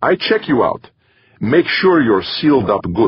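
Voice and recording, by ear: A man puts on a character voice with a Central European accent, husky with a rough edge. He goes at a fairly slow pace with big pitch swings. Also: medium pitch for a man.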